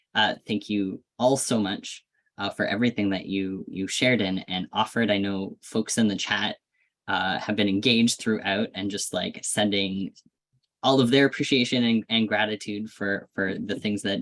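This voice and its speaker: In an ordinary speaking voice, a man talks at a moderate pace with fairly low pitch and fairly even intonation, the sound dry and close with no echo. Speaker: event moderator. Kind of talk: closing remarks of virtual panel.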